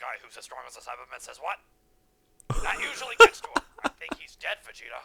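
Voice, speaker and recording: A man's put-on character voice, very fast, with long, frequent pauses. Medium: fan dub.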